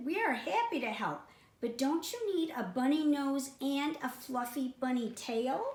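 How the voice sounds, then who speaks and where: Put-on character voice at a moderate pace with slight echo. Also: woman, high pitch for a woman. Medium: read story. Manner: friendly, chatty.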